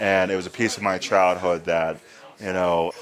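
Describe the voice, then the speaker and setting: With noticeable background noise behind him, a man speaks at a moderate pace in a very deep, low, monotone voice with flat intonation. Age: 30s. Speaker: podcast host and horror fan. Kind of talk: casual interview chat.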